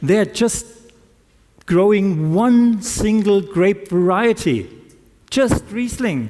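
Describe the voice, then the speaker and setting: At a very slow pace, a man talks with a high pitch and ordinary pitch variation. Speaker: winery manager. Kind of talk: conference talk. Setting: stage with audience.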